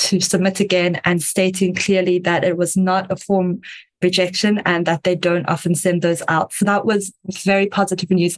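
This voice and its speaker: Medium in pitch, a woman speaks at a moderate pace with a slight South African accent. Her intonation is monotone and flat. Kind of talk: interview answers.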